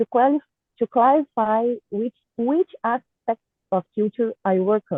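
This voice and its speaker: A woman's intonation is lively as she talks at a moderate speed. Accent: Portuguese. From Brazil, Goiás. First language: Portuguese. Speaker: artist and cultural producer. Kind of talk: prepared talk read aloud. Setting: online video call. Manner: halting.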